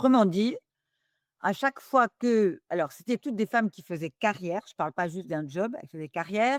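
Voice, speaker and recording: In a dry, close sound with no echo, a woman's voice makes very wide pitch swings and big swings in loudness. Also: medium pitch for a woman, moderate pace. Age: 60s. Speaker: business school professor and governance expert. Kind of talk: interview. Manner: hesitant, with many fillers.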